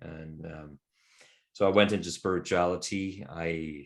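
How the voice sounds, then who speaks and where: A man with a Norwegian accent and a very deep, low voice, over a quiet background. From Norway. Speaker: men's work facilitator. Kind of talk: interview conversation. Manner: reflective, hesitant with fillers.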